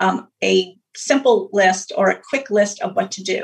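This woman has a fairly high, slightly breathy voice, and its pitch varies in an ordinary way. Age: 50s. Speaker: health coach. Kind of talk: interview.

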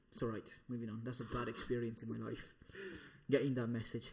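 Somewhat breathy, a man talks in an animated tone. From Italy, Sikh family. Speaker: comedian guest. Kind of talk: casual chat.

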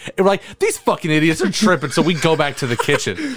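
Speaking very fast, a man lets his pitch swing very widely up and down. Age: 20s. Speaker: podcast host. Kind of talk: casual chat.

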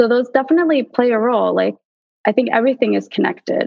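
The sound is close and dry, free of echo. It carries a woman's voice with an American accent. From US Northeast (tri-state area). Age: 20s. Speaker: guest with type 1 diabetes. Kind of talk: casual interview.

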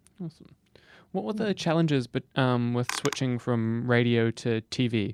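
On a very clean recording with a silent background and a dry, close sound with no echo, a man speaks in an ordinary speaking voice at medium pitch with ordinary pitch variation. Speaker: podcast host. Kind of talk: casual interview chat.

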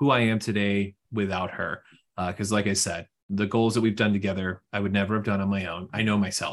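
Over a quiet background, a man with an American accent speaks at a fairly quick pace in a monotone, flat way. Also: fairly low pitch for a man. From Houston, Texas. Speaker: financial advisor. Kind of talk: casual interview.

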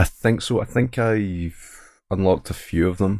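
A man with a Scottish accent uses ordinary pitch variation in a very clean recording with a silent background. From Scotland. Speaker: streamer. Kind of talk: casual chat.

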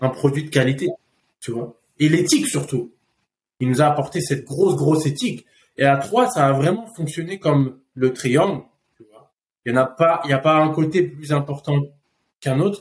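A somewhat breathy man speaks at a moderate pace and a fairly high pitch, with ordinary pitch variation. His speech has long, frequent pauses and big swings in loudness. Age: 30s. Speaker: food company co-founder. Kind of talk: casual chat. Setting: in person, Phuket, Thailand.

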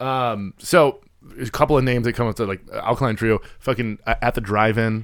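With a plain, everyday voice, a man talks at a fairly quick pace, medium pitch and ordinary pitch variation. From US Midwest, Chicago. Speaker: podcast co-host. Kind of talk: casual chat.

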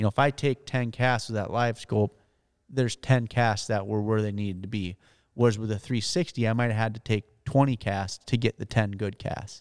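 A man with a Wisconsin accent at a moderate pace and medium pitch, in a very clean recording with a silent background and a dry, close sound with no echo. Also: fairly even intonation. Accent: Upper Midwest (Wisconsin). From northern Wisconsin. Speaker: professional bass angler. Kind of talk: interview.

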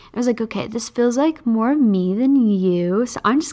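A woman talks at a moderate pace with a fairly high pitch. Her intonation is lively. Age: 20s. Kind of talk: casual solo podcast talk. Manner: casual, many fillers.

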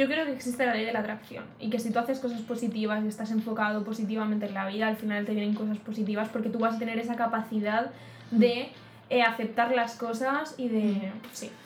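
A woman's fairly high, monotone, flat voice at a fairly quick pace, with audible room echo and noticeable background noise. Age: 20s. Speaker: podcast co-host. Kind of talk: casual chat.

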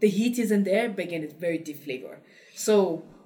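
A woman at a medium pitch and fairly quick pace, ordinary pitch variation, noticeable background noise behind her. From Cameroon. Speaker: founder of a spice company. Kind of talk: casual interview conversation.

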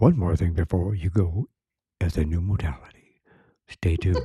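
A man puts on a character voice, very deep and low, delivering it in a dramatic tone at a moderate pace. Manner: dramatic, announcer-like.

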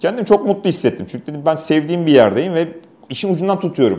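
A man with vocal fry and a dark, mellow tone at a very fast pace. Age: 40s. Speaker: motorsport official and race commentator. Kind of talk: casual interview. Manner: talkative.

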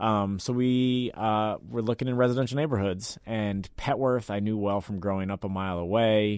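Pitched fairly low, a man speaks in an unremarkable speaking voice with fairly even intonation. He keeps a moderate pace with hardly any pauses. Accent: American. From Washington, DC (Mount Pleasant). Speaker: restaurant owner. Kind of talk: interview. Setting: radio studio.

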